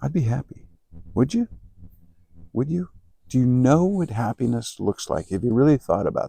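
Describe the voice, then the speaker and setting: A man's somewhat breathy voice with a dark, mellow tone, lively intonation and long, frequent pauses, in a dry, close sound with no echo. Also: medium pitch for a man, moderate pace. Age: 60s. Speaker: entrepreneur and personal growth YouTuber. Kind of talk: motivational talk to camera. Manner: halting, with frequent repetitions.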